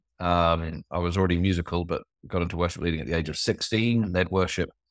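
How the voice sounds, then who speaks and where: Someone with a New Zealand accent speaks at a very fast pace. The recording is very clean, with a silent background and a dry, close sound with no echo. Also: man. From New Zealand (born in England). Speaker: tech and faith entrepreneur, former pastor. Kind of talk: casual interview chat.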